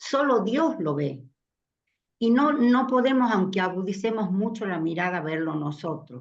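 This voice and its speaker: Audible room echo carries a woman's voice. Her pitch swings very widely. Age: 80s+. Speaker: elderly participant in a faith community meeting. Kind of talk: group discussion reflection.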